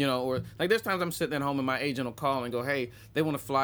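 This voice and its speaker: The very clean recording, with its silent background, captures a man speaking at a medium pitch. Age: 40s. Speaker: stand-up comedian. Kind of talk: casual chat.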